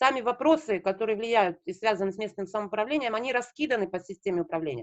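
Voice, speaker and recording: Fairly high in pitch, a woman speaks with ordinary pitch variation. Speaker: local government association representative. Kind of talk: online meeting presentation. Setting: video call. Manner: fast.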